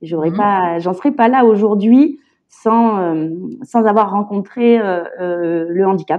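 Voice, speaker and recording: A woman's medium-pitched voice moves at a very slow pace, its pitch varying in an ordinary way. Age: 30s. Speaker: illustrator and parent carer. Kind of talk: testimony. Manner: halting.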